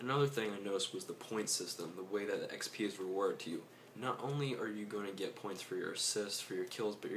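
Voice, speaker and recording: A soft-spoken voice talks at a very fast pace with fairly even intonation over noticeable background noise. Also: man. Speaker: gaming youtuber. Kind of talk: casual commentary. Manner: hesitant.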